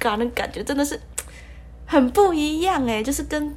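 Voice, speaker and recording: A woman speaks with a Taiwanese accent. There is noticeable background noise. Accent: Taiwanese Mandarin, light retroflex. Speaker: podcast host, university student. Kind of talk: solo casual podcast monologue. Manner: playful funny put-on intonations.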